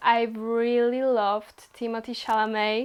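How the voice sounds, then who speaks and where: A woman speaks with a Polish accent. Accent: Polish accent, non-native English. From Poland. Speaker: YouTuber. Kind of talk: casual vlog Q&A. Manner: casual, with some hesitations.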